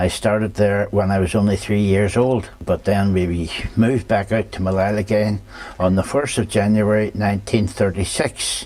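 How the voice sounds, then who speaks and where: A man with a fairly low pitch speaks at a moderate pace, his loudness very even and his intonation fairly even. Noticeable background noise is present. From Northern Ireland, County Down. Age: 70s. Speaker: local eyewitness, elderly resident. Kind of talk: interview answers to schoolchildren.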